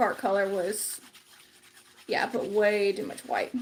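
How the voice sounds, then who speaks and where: Noticeable noise fills the background. Through it, a woman talks at a moderate speed. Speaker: craft livestreamer. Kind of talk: casual livestream crafting chat. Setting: live stream.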